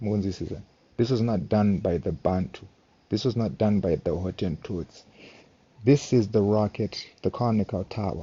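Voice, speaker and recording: A man's fairly low, somewhat breathy voice with ordinary pitch variation at a moderate pace. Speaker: amateur history presenter. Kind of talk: casual video talk.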